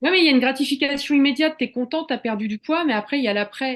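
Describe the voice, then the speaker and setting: A woman talks with ordinary pitch variation. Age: 40s. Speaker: cooking therapy coach. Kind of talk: casual interview chat.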